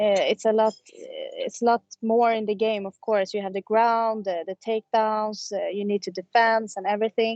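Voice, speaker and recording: A woman speaks at a moderate pace with hardly any pauses. Her fairly high voice stays monotone and flat. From Sweden. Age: 20s. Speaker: MMA fighter. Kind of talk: interview. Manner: halting.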